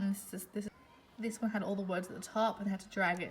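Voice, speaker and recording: In an Australian accent, a woman talks at a fairly quick pace. Her pitch is medium. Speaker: primary school teacher. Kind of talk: casual vlog monologue. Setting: school. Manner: hesitant, many fillers.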